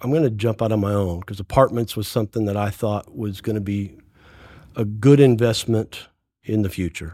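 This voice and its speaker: In a very clean recording with a silent background, a man speaks at a moderate pace in an ordinary speaking voice, his pitch fairly low and his intonation fairly even. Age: 60s. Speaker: real estate developer. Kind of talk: casual chat.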